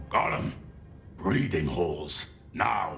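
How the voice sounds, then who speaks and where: A man growls in a put-on character voice over clear background noise. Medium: video game. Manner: brusque, gossipy.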